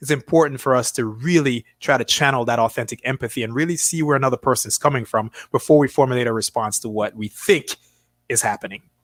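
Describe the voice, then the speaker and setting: Very fast speech with ordinary pitch variation and a dry, close sound with no echo. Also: man, medium pitch for a man. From Jamaica. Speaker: motivational speaker and coach. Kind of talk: interview conversation. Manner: animated.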